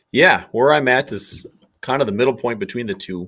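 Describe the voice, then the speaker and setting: A man with a Minnesotan accent, in a very clean recording with a silent background. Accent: Minnesota. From Minnesota, small town. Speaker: police K9 handler. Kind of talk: podcast interview.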